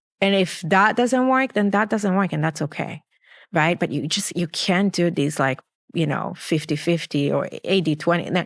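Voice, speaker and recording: Pitched fairly low, a woman speaks at a fairly slow pace with ordinary pitch variation on a very clean recording with a silent background. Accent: Israeli. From Israel. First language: Hebrew. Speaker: clinical psychologist. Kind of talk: interview answer.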